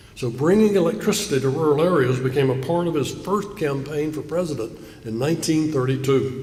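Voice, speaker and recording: Fairly quick speech in a Southern US accent, with ordinary pitch variation, audible room echo and noticeable background noise. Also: man, fairly high pitch for a man. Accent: Southern US (Georgia). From US South, south Georgia (Coffee County). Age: 70s. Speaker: keynote speaker. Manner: formal.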